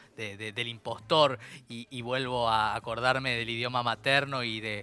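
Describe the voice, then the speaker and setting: A man with a Rioplatense accent speaks at a medium pitch in a bright, sharp tone, fairly slowly and in a flat monotone, his loudness swinging widely on a very clean recording with a silent background. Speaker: radio host. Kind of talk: interview.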